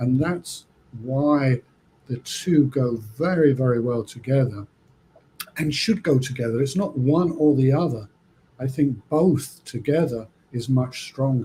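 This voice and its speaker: A somewhat breathy man's voice, medium in pitch and dark and mellow in tone, at a fairly slow pace with ordinary pitch variation and long, frequent pauses. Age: 60s. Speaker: trichologist. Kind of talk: interview. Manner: halting.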